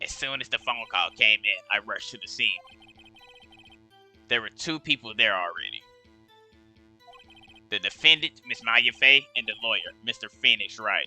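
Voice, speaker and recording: A man puts on a character voice at a medium pitch, speaking at a moderate pace with long, frequent pauses. The sound is dry and close with no echo, and faint music plays in the background. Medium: game stream. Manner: deferential, ends lines with sir.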